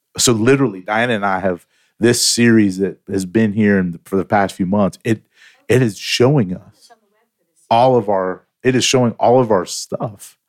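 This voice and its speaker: A man with an unremarkable speaking voice talks at a moderate pace and fairly low pitch, his intonation fairly even and the sound dry and close with no echo. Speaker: pastor/church staff co-host.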